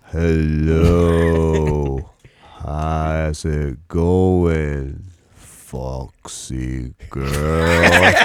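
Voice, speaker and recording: Using a put-on character voice, a man speaks in a very deep, low pitch at a very slow pace, his intonation monotone and flat. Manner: flirtatious.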